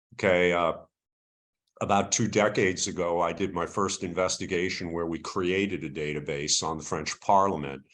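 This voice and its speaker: A man speaks in a very deep, low pitch. His pace is moderate and his intonation fairly even. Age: 70s. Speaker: investigative journalist and trainer. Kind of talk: webinar lecture. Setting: video call.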